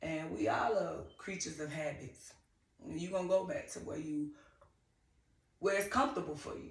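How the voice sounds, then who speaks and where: A woman with a Southern accent speaks at a moderate pace in a fairly low pitch, her intonation lively, her loudness swinging widely, and her pauses long and frequent. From US South, Griffin, Georgia. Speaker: TV personality. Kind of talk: interview.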